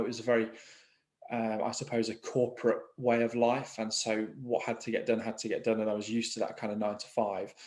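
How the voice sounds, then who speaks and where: Fairly quick and monotone, a man talks with an English Midlands accent. His pitch is medium and his intonation flat. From England, East Midlands (Market Harborough). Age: 30s. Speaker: mortgage broker. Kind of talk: interview conversation. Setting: video call. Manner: hesitant, with frequent fillers and repetitions.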